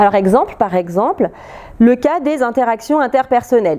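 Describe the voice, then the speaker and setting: Lively intonation marks a woman speaking at a high pitch. Noticeable background noise runs underneath. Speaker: researcher presenting at a lab seminar. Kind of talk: academic seminar talk. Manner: fast; hesitant fillers, repeated euh.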